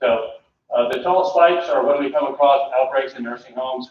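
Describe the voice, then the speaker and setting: At a fairly quick pace, a man talks in an unremarkable speaking voice with fairly even intonation. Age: 60s. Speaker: public health director. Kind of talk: presentation to board. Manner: conversational.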